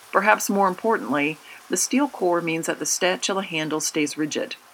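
Against noticeable background noise, a woman at a medium pitch talks at a moderate pace with lively intonation. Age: 40s. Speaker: communication studies professor. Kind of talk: scripted narration. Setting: in her kitchen.

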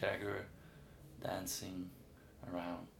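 Noticeable background noise and audible room echo accompany speech at a very slow pace. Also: man. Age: 20s. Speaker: musician. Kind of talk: interview. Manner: halting.

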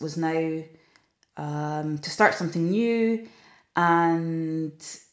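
With a northeast Scottish accent, a woman speaks at a fairly low pitch in a very clean recording with a silent background. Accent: Scottish (north-east). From Scotland, Aberdeenshire. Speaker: food tour company owner. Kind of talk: interview. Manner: hesitant with fillers.

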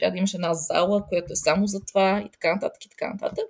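A woman's voice comes through somewhat breathy at a medium pitch. She keeps a fairly quick pace. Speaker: educator. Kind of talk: interview.

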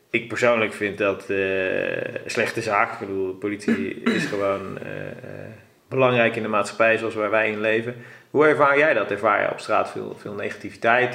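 A man speaks at a moderate pace with a medium pitch. His intonation is fairly even, though his loudness swings a lot. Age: 30s. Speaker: podcast host. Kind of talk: podcast interview. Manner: hesitant, many fillers.

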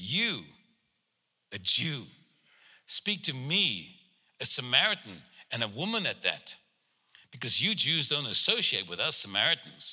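Recorded very cleanly against a silent background, a man speaks fairly slowly with long, frequent pauses, a bright, sharp tone, vocal fry and very wide pitch swings. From South Africa, Cape Town. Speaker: preacher and prophet. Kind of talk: sermon and prophetic ministry. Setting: church service with congregation.

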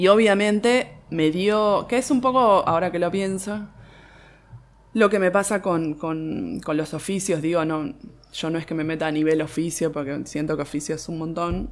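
The speaker talks with a Rioplatense accent at a moderate pace. Pitch variation is ordinary. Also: woman, fairly low pitch for a woman. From Buenos Aires, Argentina (Boedo). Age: 30s. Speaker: bookbinder and architect. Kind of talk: interview. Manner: halting, many fillers and restarts.

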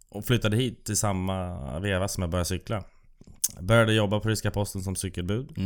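This man has an ordinary speaking voice, pitched fairly low with ordinary pitch variation, and he talks at a fairly quick pace. The recording is very clean, with a silent background. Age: 30s. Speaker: bike courier and racing cyclist. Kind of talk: casual chat. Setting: studio.

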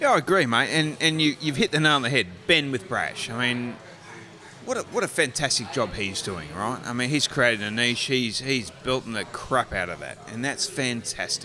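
A man talks at a moderate pace with an Australian accent. His intonation is lively. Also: medium pitch for a man. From Australia, Gold Coast, Queensland. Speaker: brewery owner. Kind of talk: casual chat. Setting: pub.

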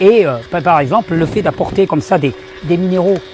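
A man's high-pitched voice with lively intonation at a fairly quick pace, over noticeable background noise. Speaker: naturopath / health video creator. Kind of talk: video tutorial. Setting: outdoors.

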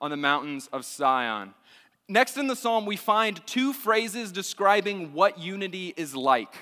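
A man with an American accent projects a raised voice. His high pitch carries a bright, sharp tone. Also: very clean recording, silent background. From Texas, Austin. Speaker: university student minister. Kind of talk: sermon. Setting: church.

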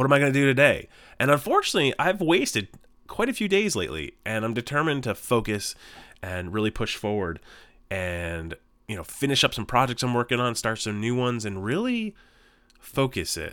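A man talks at a fairly quick pace with a medium pitch and very wide pitch swings. His tone is bright and sharp on a very clean recording with a silent background. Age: 40s. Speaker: podcast host. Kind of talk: solo monologue. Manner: casual, halting with fillers.

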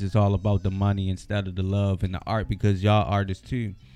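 Music plays behind a man with an American accent, who speaks at a fairly quick pace in a fairly low pitch. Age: 30s. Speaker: rapper. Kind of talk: casual chat. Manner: laid-back.

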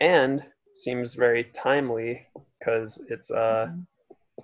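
The man speaks at a medium pitch with fairly even intonation. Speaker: punk musician and roadie. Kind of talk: casual chat. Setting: video call. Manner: quiet.

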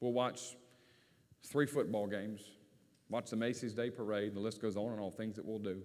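A man speaks in a Southern US accent at a fairly low pitch. His intonation is fairly even, broken by long, frequent pauses. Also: fairly quick pace. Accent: Southern US, country, moderate. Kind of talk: sermon. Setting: church.

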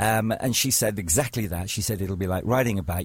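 A man speaks fairly quickly in a somewhat breathy voice, with ordinary pitch variation. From northern England, Chester. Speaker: radio presenter. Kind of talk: interview. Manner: halting.

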